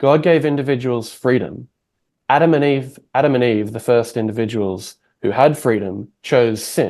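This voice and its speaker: A man with an Australian accent at a medium pitch, moderate pace and ordinary pitch variation, against a quiet background. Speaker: podcast host. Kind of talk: interview conversation.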